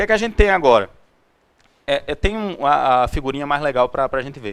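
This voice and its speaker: The speaker is a man. The recording is very clean with a silent background. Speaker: tech meetup speaker. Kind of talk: technical presentation. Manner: fast; halting.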